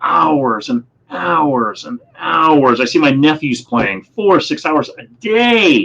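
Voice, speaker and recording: A man with an American accent speaks at a fairly high pitch with very wide pitch swings. He leaves hardly any pauses. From Montana, US. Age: 60s. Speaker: former video game event organizer. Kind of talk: podcast interview. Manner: animated.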